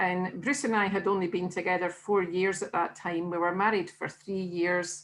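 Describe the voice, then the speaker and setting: Speaking at a moderate pace, a woman talks with a Scottish accent. The background is quiet. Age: 60s. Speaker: weight-loss diet consultant. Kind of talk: interview.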